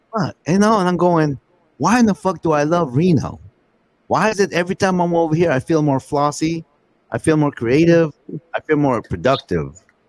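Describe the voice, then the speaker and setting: A man with a plain, everyday voice speaks at a moderate pace and a fairly high pitch, with ordinary pitch variation and very even loudness, in a dry, close sound with no echo. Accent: American. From Northern California. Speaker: podcast host. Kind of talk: casual chat.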